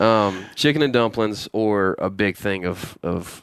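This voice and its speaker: A man with a Southern US accent speaks at a fairly slow pace in a fairly low voice, recorded very cleanly against a silent background. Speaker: hunting show co-host. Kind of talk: casual chat. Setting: on a tour bus.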